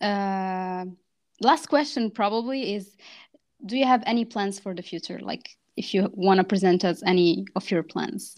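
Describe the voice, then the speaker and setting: Against a quiet background, a woman with an unremarkable speaking voice talks at a moderate pace in a medium pitch, with ordinary pitch variation and big swings in loudness. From grew up in France, Moroccan roots. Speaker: podcast host. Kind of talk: casual interview chat, Darija-English code-switching.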